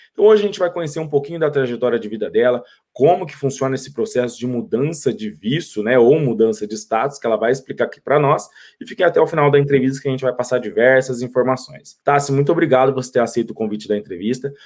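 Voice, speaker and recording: A man's medium-pitched voice, very fast and with lively intonation. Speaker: YouTube host, interviewer. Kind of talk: interview. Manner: friendly, informal.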